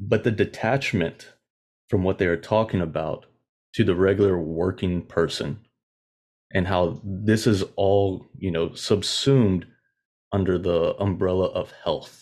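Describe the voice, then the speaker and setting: Against a quiet background, a man talks at a fairly slow pace with long, frequent pauses. His voice sits fairly low, with ordinary pitch variation. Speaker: podcast co-host. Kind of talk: casual chat.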